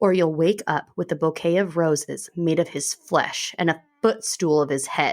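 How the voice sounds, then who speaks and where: Using a put-on character voice, a woman growls at a fairly low pitch and a moderate pace with hardly any pauses. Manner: menacing, growling.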